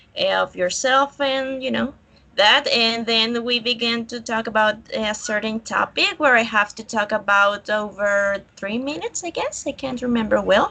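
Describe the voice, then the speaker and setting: A woman with a Colombian accent, fairly high-pitched and bright, sharp in tone, at a moderate pace with ordinary pitch variation and hardly any pauses. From Colombia, Villavicencio. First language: Spanish. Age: 20s. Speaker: student. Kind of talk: online English class. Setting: video call. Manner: halting.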